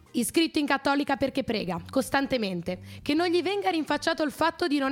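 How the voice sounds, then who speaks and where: Her pitch high, a woman speaks at a very fast pace with lively intonation. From Genoa, Italy. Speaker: student radio host. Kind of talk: casual chat; scripted show intro.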